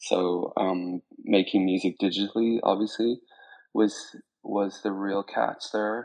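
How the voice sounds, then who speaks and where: A man's fairly low, monotone, flat delivery at a very slow pace over a quiet background. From Spain, born in Ireland. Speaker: DJ and record label founder. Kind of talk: interview on a live audio space. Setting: online audio chat room.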